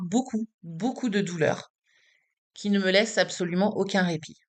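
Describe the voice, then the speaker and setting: A woman speaks at a moderate pace in a medium pitch, her intonation fairly even. The background is quiet. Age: 40s. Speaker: patient advocate vlogger. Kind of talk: personal vlog testimony. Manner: casual, direct address to viewer.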